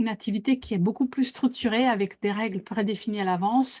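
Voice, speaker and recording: Against a quiet background, a woman speaks in a dark, mellow tone. Her voice is somewhat breathy. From Italy. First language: Italian (speaking French). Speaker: team facilitator. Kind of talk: interview. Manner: hesitant, many fillers.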